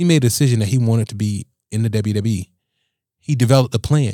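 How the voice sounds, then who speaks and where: In an American accent, a man speaks with a dark, mellow tone at medium pitch and ordinary pitch variation. The recording is very clean, with a silent background and a dry, close sound with no echo. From Riviera Beach, Florida. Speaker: state senator. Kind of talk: casual interview conversation.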